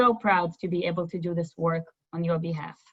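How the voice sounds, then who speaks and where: A woman speaks with a Russian accent. Her voice is somewhat breathy. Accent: Russian-type accent from former Soviet Union. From former Soviet Union. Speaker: nonprofit representative. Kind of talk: webinar presentation.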